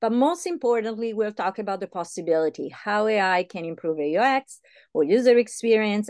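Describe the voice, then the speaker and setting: At a moderate pace with hardly any pauses, a woman's voice moves through very wide pitch swings. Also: quiet background. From Italy. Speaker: UX designer and speaker. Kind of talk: presentation. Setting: video call. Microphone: video call.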